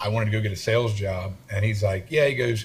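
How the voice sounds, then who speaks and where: A man's somewhat breathy voice at a fairly quick pace. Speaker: construction entrepreneur. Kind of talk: interview conversation. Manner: halting, many repeated words.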